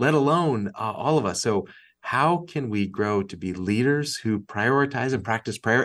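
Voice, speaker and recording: Someone with an American accent and an unremarkable speaking voice talks at a moderate pace with lively intonation. The background is quiet. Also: man. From Massachusetts. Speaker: nonprofit executive and author. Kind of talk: interview conversation.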